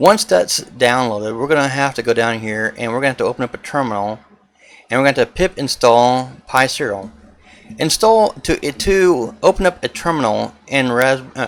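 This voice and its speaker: A man's medium-pitched voice with lively intonation. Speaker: tech tutorial youtuber. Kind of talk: tutorial. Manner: fast; hesitant with fillers.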